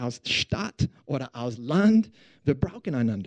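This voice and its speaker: A man with an American accent and a dark, mellow tone, very wide pitch swings, a fairly slow pace, and a dry, close sound with no echo. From Texas. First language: English (speaking German). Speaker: pastor. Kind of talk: sermon. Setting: church service with audience. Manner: halting.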